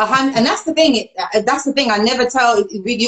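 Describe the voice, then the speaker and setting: This is a woman speaking. Her voice sits high in pitch. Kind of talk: live talk show hosting. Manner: upbeat.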